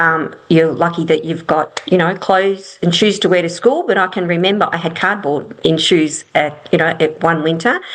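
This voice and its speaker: With noticeable background noise throughout, the talking runs at a fairly quick pace. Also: woman. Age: 60s. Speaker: property investment strategist. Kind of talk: interview. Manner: halting.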